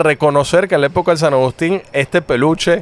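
A man with a Venezuelan accent, fairly high in pitch with ordinary pitch variation, in a dry, close sound with no echo. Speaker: sports podcast host. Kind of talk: casual chat.

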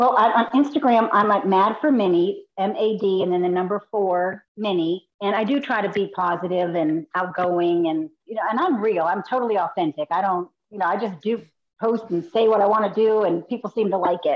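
In an unremarkable speaking voice, a woman talks at a moderate pace in a medium pitch with ordinary pitch variation. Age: 50s. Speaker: person with rheumatoid arthritis and a limb difference. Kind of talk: casual chat.

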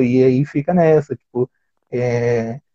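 A man's somewhat breathy voice. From Brazil, São Paulo. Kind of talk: interview conversation.

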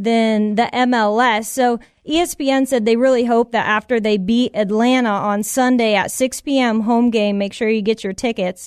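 An American accent in a normal speaking voice at a moderate pace, with hardly any pauses, fairly even intonation and a dry, close sound with no echo. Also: woman, fairly high pitch for a woman. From Tampa, Florida. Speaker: sports radio co-host. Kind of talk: casual chat. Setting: studio.

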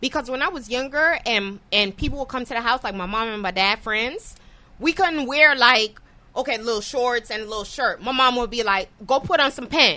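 A woman with an American accent projects a raised voice, bright and sharp in tone and high in pitch. She sounds animated, with lively intonation. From New York. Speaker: podcast host. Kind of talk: casual chat.

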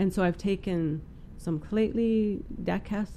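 This woman speaks with a Western Canadian accent. Her medium-pitched voice has a dark, mellow tone. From Prince George, British Columbia, Canada. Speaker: First Nations musician and artist. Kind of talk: casual interview.

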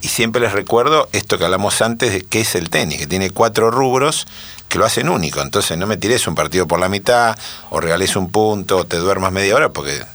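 Fairly quick, lively-toned speech from a man with a fairly low pitch, over noticeable background noise. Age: 60s. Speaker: former tennis pro and coach. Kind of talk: casual interview.

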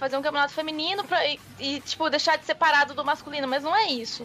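A woman with an extremely high voice raises and projects it. She speaks at a very fast pace. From interior of São Paulo state, Brazil. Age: 20s. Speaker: professional esports player. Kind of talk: casual radio interview.

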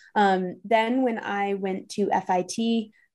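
In an American accent, a woman with an ordinary speaking voice talks at medium pitch with fairly even intonation against a quiet background. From US Northeast, New York City. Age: 20s. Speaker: content creator. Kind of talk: interview conversation.

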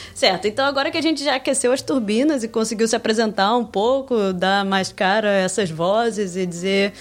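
This woman has an ordinary speaking voice at medium pitch. She speaks at a moderate pace with ordinary pitch variation. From Brazil, Rio de Janeiro state. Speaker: podcast co-host. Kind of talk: casual chat.

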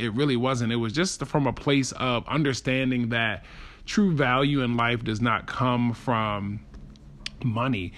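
A man with an unremarkable speaking voice at medium pitch and a fairly slow pace. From Baltimore, US. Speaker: podcast host. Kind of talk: personal monologue.

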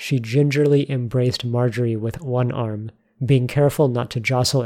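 An unforced reading voice, its intonation fairly even.

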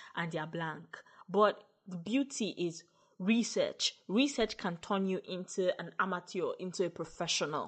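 This woman's somewhat breathy, medium-pitched voice keeps a moderate speed, with pitch that moves in an ordinary way. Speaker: podcaster and voiceover artist. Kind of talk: interview answers, casual advice.

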